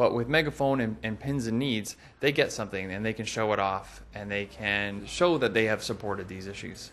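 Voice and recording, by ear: In a fairly bright tone, a man speaks at a fairly low pitch and moderate pace with fairly even intonation.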